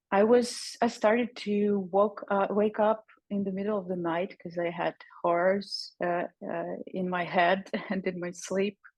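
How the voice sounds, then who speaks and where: A woman with a Ukrainian accent talks at a fairly slow pace in a medium pitch, her intonation monotone and flat. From Ukraine, Kyiv. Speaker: psychologist and breathing teacher. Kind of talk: personal testimony in a webinar. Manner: halting, many fillers.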